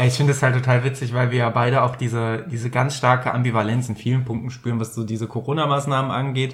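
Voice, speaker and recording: Medium in pitch and monotone, a man rattles along at a very fast pace with hardly any pauses. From Rhineland, Bergisches Land (Germany). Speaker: podcast co-host. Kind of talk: casual chat. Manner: halting, many filler sounds.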